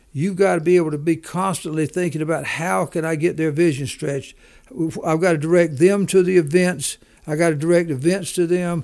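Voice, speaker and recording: With a Southern US accent, a high-pitched man speaks with fairly even intonation. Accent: Southern US, noticeable drawl. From US South. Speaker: business leader and author. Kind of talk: interview, business talk.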